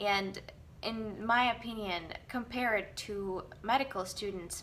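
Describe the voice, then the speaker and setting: With a Russian accent, a woman speaks in a fairly high pitch, using lively intonation and a bright, sharp tone. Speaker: dentist. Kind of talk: casual vlog monologue. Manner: halting.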